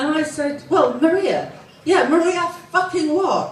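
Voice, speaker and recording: Noticeable background noise accompanies a woman speaking in a room with audible echo. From England, Southend area. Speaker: comedian. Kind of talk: stand-up. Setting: stage with audience.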